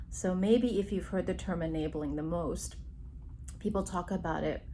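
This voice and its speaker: Audible room echo colors speech delivered at a moderate pace. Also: woman. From immigrant Taiwanese Chinese family background. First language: Chinese (Mandarin or Taiwanese). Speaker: psychologist. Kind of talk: recorded workshop talk. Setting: remote recording.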